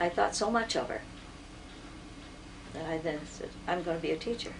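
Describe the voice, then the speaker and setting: Noticeable background noise runs beneath speech delivered at a moderate pace with ordinary pitch variation. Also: woman. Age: 80s+. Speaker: retired teacher. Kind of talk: interview. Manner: halting.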